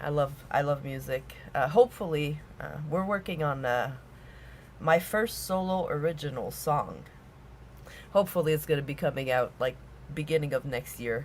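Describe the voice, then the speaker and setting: This woman has a very deep, low voice with vocal fry. She talks at a moderate pace with ordinary pitch variation and long, frequent pauses. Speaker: podcast host and singer. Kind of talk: interview.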